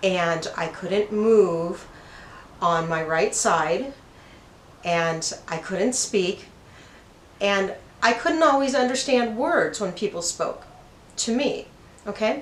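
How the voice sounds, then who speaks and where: A woman speaks very slowly at a medium pitch, with lively intonation, long and frequent pauses, and audible room echo. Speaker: spiritual channel host. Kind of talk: personal storytelling. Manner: slow, broken-up speech; slightly halting from brain injury.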